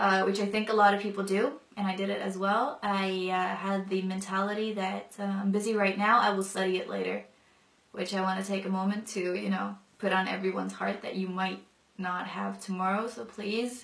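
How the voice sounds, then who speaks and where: A woman's medium-pitched, monotone, flat delivery at a fairly quick pace. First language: non-English mother tongue. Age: 20s. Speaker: convert sharing her story. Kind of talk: testimony. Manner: casual with many fillers.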